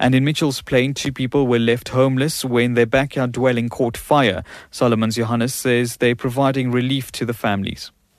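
A man's flat, monotone delivery at a fairly quick pace with hardly any pauses, on a very clean recording with a silent background. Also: medium pitch for a man. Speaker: radio newsreader. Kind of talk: news bulletin reading. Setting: radio studio. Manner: formal, brisk.

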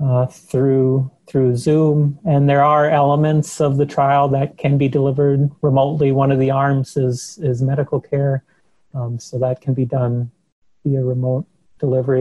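Speaking with an Upper Midwest accent at a moderate pace, a man has a fairly high-pitched, somewhat breathy voice with a dark, mellow tone and monotone, flat intonation, in a dry, close sound with no echo. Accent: Upper Midwest American. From US Midwest, western Minnesota. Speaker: chiropractic researcher, professor. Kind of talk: interview.

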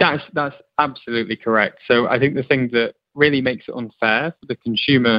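A man with a normal speaking voice talks at a fairly quick pace and medium pitch. His intonation is fairly even, but his loudness swings widely. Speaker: tech executive. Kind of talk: interview explanation.

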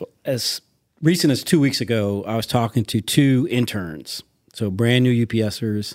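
An unremarkable speaking voice with an American accent comes at a moderate pace, with ordinary pitch variation and a dry, close sound with no echo. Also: man, medium pitch for a man. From Hartford, Connecticut and South Florida. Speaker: corporate auditor. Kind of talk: casual interview chat.

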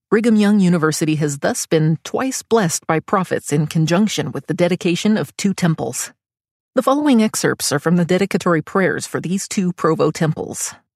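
In a very clean recording with a silent background, a normal speaking voice moves at a fairly quick pace with lively intonation. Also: woman, fairly low pitch for a woman. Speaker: podcast narrator. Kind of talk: scripted narration. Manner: formal.

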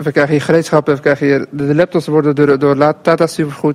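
A man speaks at a fairly quick pace in a fairly high pitch with monotone, flat intonation over noticeable background noise. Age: 20s. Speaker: trainee electrician. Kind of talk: field interview. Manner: halting.

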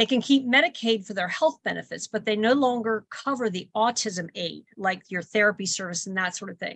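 Against a quiet background, a woman with a plain, everyday voice talks at a fairly quick pace with hardly any pauses, her fairly high pitch showing ordinary variation. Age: 60s. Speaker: grandmother and caregiver. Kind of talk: radio interview.

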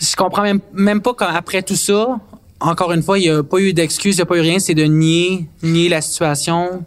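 A man with a Quebec accent talks at a moderate pace in a high pitch. His loudness stays very even and his intonation fairly even. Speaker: content creator. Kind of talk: casual chat.

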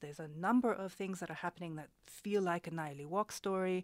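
A woman speaks fairly quickly with a non-native accent. The sound is dry and close with no echo, on a very clean recording with a silent background. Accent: foreign, non-South African. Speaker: researcher. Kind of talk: radio interview. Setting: studio.

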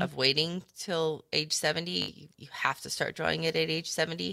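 The voice has a bright, sharp tone with vocal fry, captured in a very clean recording against a silent background. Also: woman. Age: 40s. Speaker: financial advisor radio host. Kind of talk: radio talk show. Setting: studio.

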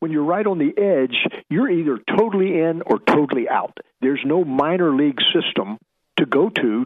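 At a moderate pace, a man with a fairly high pitch speaks with an American accent.

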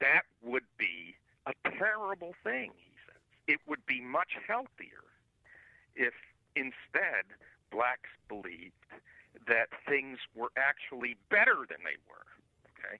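A man at a very slow pace with vocal fry, long and frequent pauses, big swings in loudness and very wide pitch swings. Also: medium pitch for a man. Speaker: professor and writer. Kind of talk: interview discussion.

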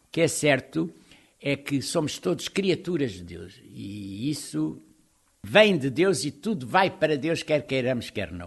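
Speaking very slowly with vocal fry, a man uses a fairly high pitch, with very wide pitch swings and big swings in loudness. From Portugal, Lisbon. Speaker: religious brother. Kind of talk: interview. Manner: animated.

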